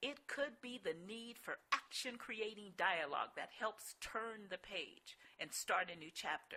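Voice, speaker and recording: A woman with an American accent, bright and sharp in tone, big swings in loudness, lively intonation and hardly any pauses. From US Midwest. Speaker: life coach and author. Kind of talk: webinar presentation. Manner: animated.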